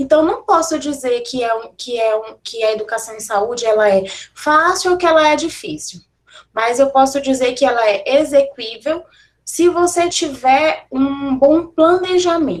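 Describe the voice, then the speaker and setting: Her intonation is lively and her pitch high. The woman talks at a fairly slow pace. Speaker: university professor giving a lecture. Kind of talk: online lecture.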